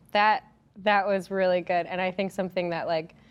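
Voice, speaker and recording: A woman talks in a normal speaking voice at medium pitch. Her pace is fairly quick. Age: 20s. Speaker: church youth ministry director. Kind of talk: hosted panel discussion.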